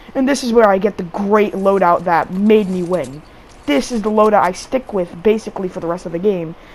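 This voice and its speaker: A woman with a medium pitch and ordinary pitch variation is heard against noticeable background noise. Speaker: gaming video creator. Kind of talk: gameplay commentary. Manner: casual, halting with repetitions.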